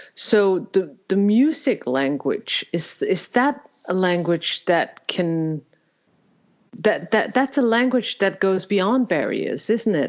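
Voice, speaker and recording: With a Danish accent, a woman at medium pitch talks at a very slow pace, her loudness very even and her pitch swinging very widely. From Denmark. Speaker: podcast host. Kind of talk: interview conversation. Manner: halting.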